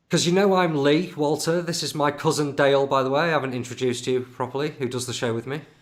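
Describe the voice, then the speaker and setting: With a Lincolnshire accent, a man talks at a very fast pace. His fairly high pitch has fairly even intonation. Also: hardly any pauses. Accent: northern English (Lincolnshire). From Grimsby, northern England. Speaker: podcast host. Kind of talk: casual interview chat. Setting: live video stream.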